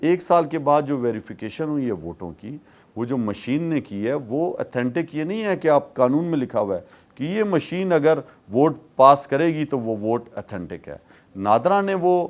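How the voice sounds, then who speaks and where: A man's unremarkable speaking voice, fairly high-pitched, with lively intonation. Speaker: politician. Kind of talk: interview answer.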